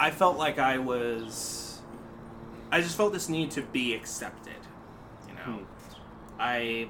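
Over noticeable background noise, a man talks at a fairly slow pace with lively intonation and long, frequent pauses. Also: medium pitch for a man. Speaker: guest, illustrator and voice impressionist. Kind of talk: casual interview.

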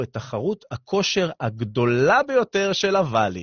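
Somewhat breathy male voice with lively intonation and an animated tone. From Israel, southern coastal area. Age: 30s. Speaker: radio host and fitness coach. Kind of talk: radio talk show monologue.

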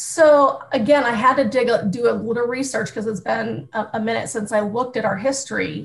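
A woman with a plain, everyday voice and an American accent speaks at a fairly quick pace with hardly any pauses, her pitch fairly high and showing ordinary variation. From US Midwest, small-town Ohio. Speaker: youth organization staff leader. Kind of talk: interview.

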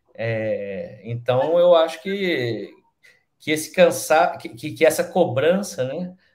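A man with a fairly high pitch at a very slow pace. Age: 40s. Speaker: film director and screenwriter. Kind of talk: panel discussion. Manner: halting.

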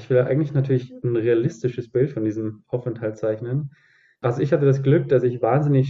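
A man with a medium-pitched, somewhat breathy voice speaks fairly quickly with fairly even intonation. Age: 20s. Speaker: student teacher. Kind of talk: casual interview.

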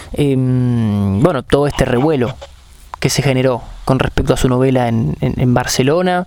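A man with a Rioplatense accent speaks at a medium pitch and a fairly slow pace, leaving long, frequent pauses. Noticeable background noise runs under his voice. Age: 20s. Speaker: sports podcast host. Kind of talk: interview. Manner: halting, repeats words.

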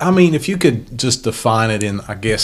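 Over noticeable background noise, a man with a fairly low voice speaks at a moderate pace with lively intonation. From Ohio. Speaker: podcast host. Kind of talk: casual interview. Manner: halting.

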